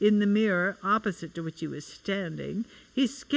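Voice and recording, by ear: The text is read aloud in a natural voice whose pitch shifts in an ordinary way.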